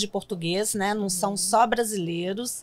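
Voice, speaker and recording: A woman speaks with monotone, flat intonation. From Brazil, Minas Gerais (Belo Horizonte); Minas Gerais, Brazil. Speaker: city immigrant-services worker, former interpreter; guest. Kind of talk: interview. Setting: studio. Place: studio. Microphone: studio mic.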